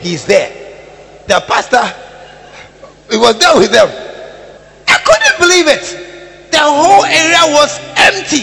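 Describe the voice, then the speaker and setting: Against noticeable background noise, a man uses a raised, projected voice at an extremely high pitch, with an animated tone, very wide pitch swings, a fairly slow pace and long, frequent pauses. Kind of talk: sermon, preacher in full flow. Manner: animated, rhetorical, repeating words for emphasis, calling out to the congregation; confrontational yet teasing, pausing for crowd response.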